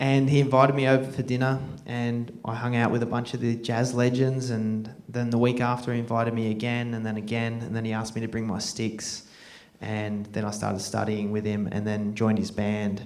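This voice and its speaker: A man's medium-pitched, monotone, flat voice at a fairly quick pace, with noticeable background noise and audible room echo. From Australia. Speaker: film director and jazz drummer. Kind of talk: Q&A after film screening. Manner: halting, many fillers.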